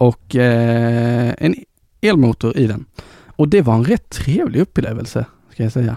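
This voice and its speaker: Dark, mellow tone from a man at medium pitch, fairly slow, with ordinary pitch variation and a dry, close sound with no echo. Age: 20s. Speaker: tech podcast host. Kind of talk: casual chat. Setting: studio.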